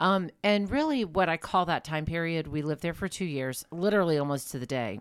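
A woman with an American accent, lively intonation, a fairly quick pace and hardly any pauses, on a very clean recording with a silent background. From US Midwest. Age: 50s. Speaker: podcast co-host. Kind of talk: casual chat.

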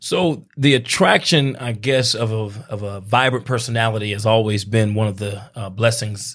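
The recording is very clean, with a silent background. A man with a medium pitch speaks somewhat breathily, his intonation fairly even. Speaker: pastor and radio host. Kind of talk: casual interview chat. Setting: radio studio.

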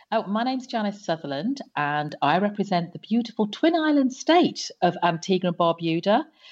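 A woman with a slight British accent and lively intonation. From England. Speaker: former telecom executive. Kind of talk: podcast interview.

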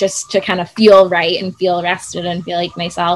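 A woman talks with an American accent at a moderate pace and medium pitch. It is an ordinary speaking voice. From US Midwest, Chicago suburbs. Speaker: entrepreneur and influencer. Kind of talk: casual interview chat. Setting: outdoors on a farm.

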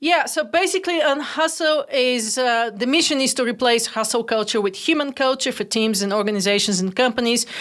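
Lively intonation from a woman with a Bulgarian accent. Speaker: entrepreneur. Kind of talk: interview.

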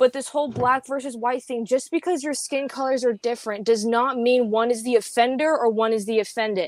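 A high-pitched woman's voice at a moderate pace. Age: 20s. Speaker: podcaster guest. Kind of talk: casual interview chat.

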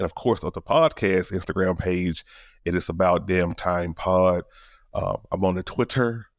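On a very clean recording with a silent background, a man speaks at a moderate pace in a very deep, low voice with fairly even intonation. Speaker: podcaster and producer. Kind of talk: casual chat. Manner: casual, slangy.

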